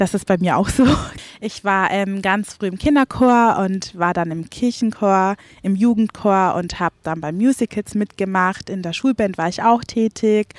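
A woman with a normal speaking voice talks at a fairly slow pace, her medium pitch showing ordinary variation, in a very clean recording with a silent background and a dry, close sound with no echo. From Franconia, Fürth. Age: 20s. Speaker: singer. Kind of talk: interview.

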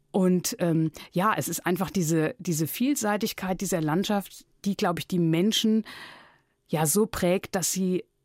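On a very clean recording with a silent background, a woman talks very slowly at medium pitch with ordinary pitch variation. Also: dry, close sound with no echo. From Palatinate, Germany (Neustadt an der Weinstraße). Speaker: radio editor and author. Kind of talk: interview.

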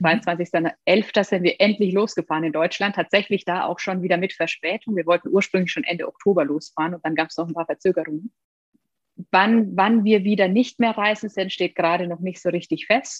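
Fairly quick in pace, a woman talks at a medium pitch. She has an unremarkable speaking voice. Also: ordinary pitch variation. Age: 30s. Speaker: former tax advisor turned digital nomad. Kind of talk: interview.

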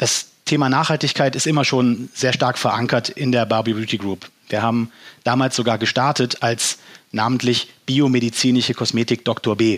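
A man with a medium pitch and an ordinary speaking voice talks at a moderate pace, with fairly even intonation and very even loudness. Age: 30s. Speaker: company environmental officer. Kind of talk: podcast interview.

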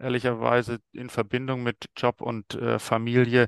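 Recorded dry and close with no echo, a man speaks in a flat monotone at a medium pitch. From Stuttgart, Germany. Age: 40s. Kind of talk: casual interview.

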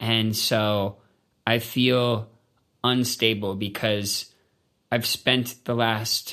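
A man's bright, sharp voice with a Canadian accent. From Canada. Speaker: musician. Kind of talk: interview. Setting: studio.

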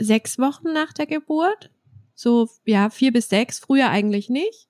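At a very slow pace, a woman talks in a high pitch with ordinary pitch variation, in a very clean recording with a silent background and a dry, close sound with no echo. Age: 30s. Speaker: trauma counsellor and doula. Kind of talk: interview. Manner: hesitant with frequent fillers.

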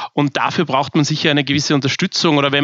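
A man at a fairly high pitch, talking at a very fast pace. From Austria, Vienna. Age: 30s. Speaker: bank founder and CEO. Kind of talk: interview.

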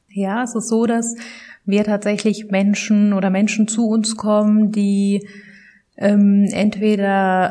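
A woman speaks at a very slow pace. Her medium-pitched voice is somewhat breathy. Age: 30s. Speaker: social work manager. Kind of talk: interview. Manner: hesitant, many fillers.

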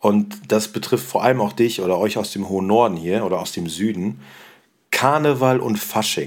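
Lively in intonation, a man with a fairly low pitch and vocal fry speaks at a moderate pace. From Rhineland (Cologne area), Germany. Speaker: teacher and podcast host. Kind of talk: educational podcast chat.

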